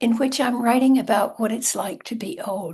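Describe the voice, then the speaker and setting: This woman speaks with a fairly high pitch and a dark, mellow tone. Vocal fry runs through her voice. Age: 80s+. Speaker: author. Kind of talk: talk.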